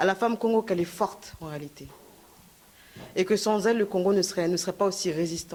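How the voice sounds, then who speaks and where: A woman at a very fast pace broken by long, frequent pauses, medium in pitch with fairly even intonation. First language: Lingala or Kikongo heritage, French most comfortable (speaking French). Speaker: activist speaker. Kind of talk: conference speech. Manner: halting, many fillers.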